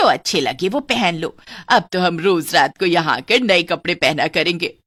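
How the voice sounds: A woman in a cartoonish character voice at a moderate pace.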